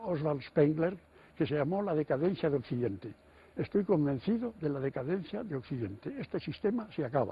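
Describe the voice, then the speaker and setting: A man speaks at a moderate pace in a fairly high pitch. His voice is somewhat breathy, and its pitch swings very widely. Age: 80s+. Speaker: writer and economist. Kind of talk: TV interview answer.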